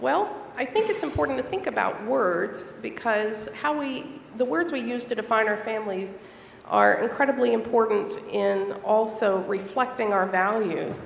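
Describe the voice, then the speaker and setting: In a room with audible echo, a woman with an American accent speaks at a moderate pace, her fairly high voice carrying lively intonation. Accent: Southern twang, stronger after a trip home. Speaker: church elder and library school teacher. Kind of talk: sermon. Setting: church.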